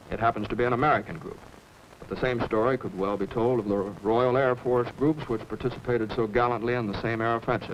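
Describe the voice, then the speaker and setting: Noticeable background noise runs under a man's voice. He talks at a fairly quick pace with a medium pitch. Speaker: actor; pilot. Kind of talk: documentary film introduction, reading a telegram.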